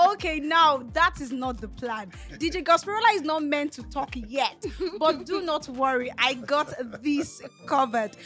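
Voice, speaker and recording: Over faint background music, a woman with a high pitch speaks at a moderate pace, her loudness swinging widely. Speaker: radio show host. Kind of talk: radio show introduction. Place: studio. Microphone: studio mic.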